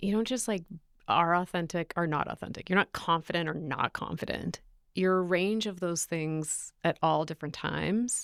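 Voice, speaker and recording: In a very clean recording with a silent background and a dry, close sound without echo, a woman with a plain, everyday voice speaks at a moderate pace, her pitch fairly low with ordinary variation. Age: 30s. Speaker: public speaking coach and sports broadcaster. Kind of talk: interview conversation. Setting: studio.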